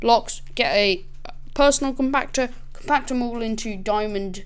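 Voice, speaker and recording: A woman talks with fairly high pitch and ordinary pitch variation. Audible room echo surrounds her voice. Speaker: gaming youtuber. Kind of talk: gameplay tutorial. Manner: casual.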